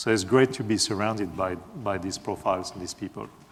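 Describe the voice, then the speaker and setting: Speaking with a French accent, a man uses a fairly low pitch. His pace is moderate. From France. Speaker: software engineer, conference speaker. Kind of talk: conference talk. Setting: stage with audience. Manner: hesitant, many fillers.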